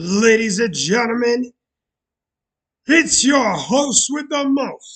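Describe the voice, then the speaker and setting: At a very slow pace broken by long, frequent pauses, a man talks with lively intonation at an extremely high pitch. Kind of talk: casual live stream chat. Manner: animated.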